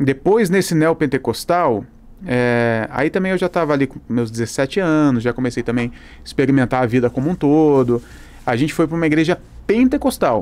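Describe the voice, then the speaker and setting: Here a man speaks in a fairly high pitch. His pace is moderate and his pitch varies in an ordinary way. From Brazil. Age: 30s. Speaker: pastor. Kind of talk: casual chat. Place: studio. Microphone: studio mic.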